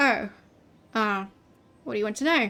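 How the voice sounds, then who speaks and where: Using a put-on character voice, a woman speaks at a fairly quick pace with a fairly high pitch. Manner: reluctant, wary.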